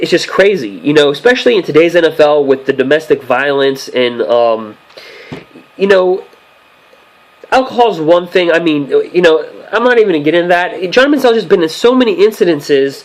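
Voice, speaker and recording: Over noticeable background noise, a man talks at a fairly quick pace and a high pitch with very wide pitch swings. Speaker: sports news commentator. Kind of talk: casual vlog commentary. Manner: fast; halting with many fillers.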